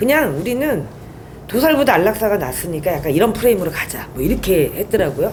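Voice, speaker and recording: A woman's very fast speech with very wide pitch swings, amid audible room echo and noticeable background noise. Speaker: whistleblower. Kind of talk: interview testimony.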